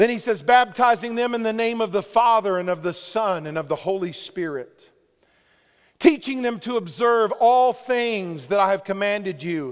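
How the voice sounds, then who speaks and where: A high-pitched man at a moderate pace, lively intonation throughout. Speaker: pastor. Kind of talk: sermon. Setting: church. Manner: loud; animated.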